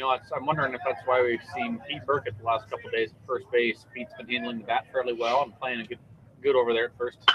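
A man at a medium pitch and a very fast pace, with noticeable background noise. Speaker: play-by-play announcer. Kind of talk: live sports commentary, play-by-play. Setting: broadcast booth at a baseball game. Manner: fast, fluent, animated play-by-play delivery with clipped pitch-by-pitch calls.

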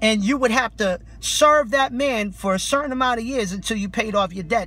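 In a raised, projected voice with a passionate tone, the speaker goes at a moderate pace, the sound dry with no echo. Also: man. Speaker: street preacher. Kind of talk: street preaching rebuttal, impassioned sermon. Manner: forceful, passionate, confrontational. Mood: indignant, scolding. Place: car. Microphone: phone near.

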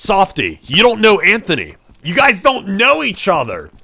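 A man speaks in a raised, projected, high-pitched voice at a moderate pace. Noticeable background noise runs beneath him. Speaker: gaming livestreamer. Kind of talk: live gameplay stream chat. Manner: casual, hesitant.

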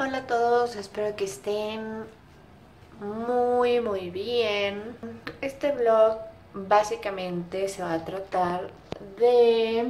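A woman speaking at a very slow pace, with long, frequent pauses over light background noise. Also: ordinary pitch variation. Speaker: vlogger. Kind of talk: casual vlog chat. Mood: reflective, candid, slightly subdued. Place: home room. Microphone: phone near.

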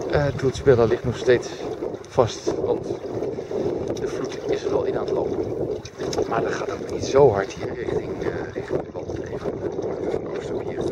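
Amid loud background noise, a man speaks at a fairly slow pace with long, frequent pauses. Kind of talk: casual vlog chat. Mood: relaxed, contented. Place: boat. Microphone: phone near.

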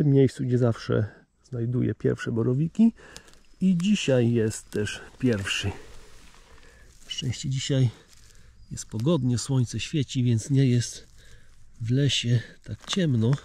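A man's dark, mellow, somewhat breathy voice at a very slow pace, with ordinary pitch variation, long, frequent pauses, light background noise and a dry sound with no echo. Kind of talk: casual vlog chat. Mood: cheerful, pleased. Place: forest. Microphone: phone near.

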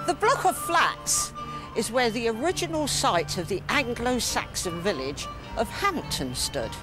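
A woman at a fairly slow pace, dry sound with no echo, clear music in the background. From Southampton, England. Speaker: local history tour guide. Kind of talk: TV history documentary presenting. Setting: outdoors. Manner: down-to-earth, enthusiastic. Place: street.

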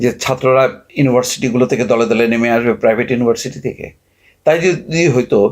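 A man with a plain, everyday voice, medium pitch, and ordinary pitch variation. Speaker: political commentator. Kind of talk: political commentary monologue.

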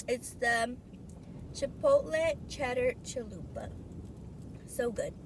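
A woman speaks at a high pitch with very wide pitch swings. The sound is dry with no echo, and background noise is noticeable. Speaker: food vlogger. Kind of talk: casual vlog chat. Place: car. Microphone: phone near.

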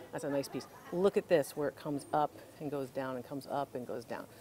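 A woman talks with a very deep, low pitch and fairly even intonation. Light background noise is present. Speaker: antiques appraiser host. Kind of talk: casual shopping vlog with expert commentary. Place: shop. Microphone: lapel.

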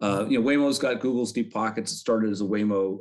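This man speaks very fast in an American accent, his pitch fairly low with ordinary variation. The background is quiet. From Chicago. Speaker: retired quant and systems architect; guest. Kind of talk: casual interview. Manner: hesitant, many fillers. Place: home room. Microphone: video call.

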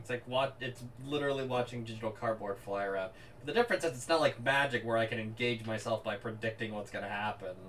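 There is noticeable background noise. A man speaks at a very fast pace in a medium pitch. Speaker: game streamer. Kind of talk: casual chat. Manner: loud; animated.

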